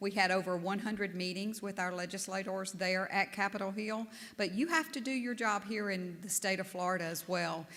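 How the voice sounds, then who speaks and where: With a Southern US accent, a woman talks at a fairly quick pace with hardly any pauses. Her voice sits at a medium pitch with ordinary pitch variation and a bright, sharp tone. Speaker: national association board leader. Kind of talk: conference speech.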